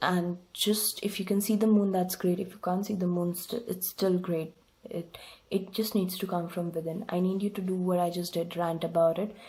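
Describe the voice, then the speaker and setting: Moderate pace and a somewhat breathy, dark, mellow tone, with a non-native accent and monotone, flat intonation. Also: woman, medium pitch for a woman. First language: not English. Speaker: tarot reader. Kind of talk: tarot reading monologue. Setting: home desk recording. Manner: hesitant with fillers.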